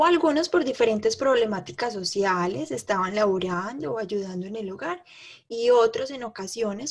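Moderately paced, somewhat breathy speech from a woman. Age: 20s. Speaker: podcast co-host, entrepreneur and mother. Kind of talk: casual chat.

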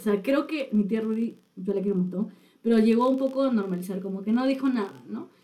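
This woman's voice is somewhat breathy, dark and mellow, pitched fairly high. She talks at a fairly quick pace with ordinary pitch variation. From Peru, Chiclayo then Lima. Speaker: podcast co-host. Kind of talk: casual chat. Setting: studio.

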